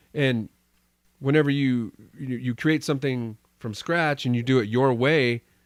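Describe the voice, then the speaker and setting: At a moderate pace, a man with an American accent speaks with long, frequent pauses. The recording is very clean, with a silent background. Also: medium pitch for a man, fairly even intonation. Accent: slight Texas, only on some words. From Texas. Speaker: podcast host. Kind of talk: casual chat.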